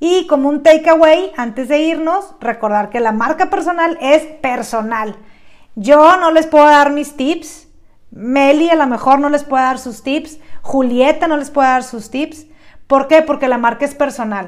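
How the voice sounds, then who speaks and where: Speaking at a fairly slow pace, a woman uses a high pitch with ordinary pitch variation. She talks with a Mexican accent. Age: 30s. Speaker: podcast host and branding speaker. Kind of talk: lecture.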